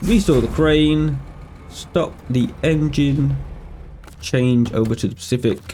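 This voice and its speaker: Over noticeable background noise, a man with a medium pitch talks fairly slowly with lively intonation. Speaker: gaming youtuber. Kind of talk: gameplay commentary.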